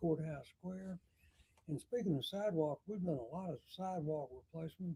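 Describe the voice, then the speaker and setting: This man has a high pitch and a dark, mellow tone. He speaks with a Southern US accent and ordinary pitch variation. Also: moderate pace. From Alabama, US South. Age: 80s+. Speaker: retired mayor. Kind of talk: talk show interview. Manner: halting.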